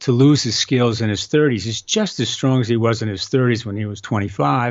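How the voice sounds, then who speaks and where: The man has a plain, everyday voice at a medium pitch. He talks at a fairly quick pace with ordinary pitch variation. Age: 60s. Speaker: inventor of balance training system. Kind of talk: casual interview.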